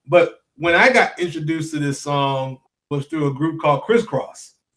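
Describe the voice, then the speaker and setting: A man with a Memphis accent talks at a moderate pace, his pitch fairly high and its variation ordinary. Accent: Southern US (Memphis). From US South, Memphis, Tennessee. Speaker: podcast host, music tech founder. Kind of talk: interview.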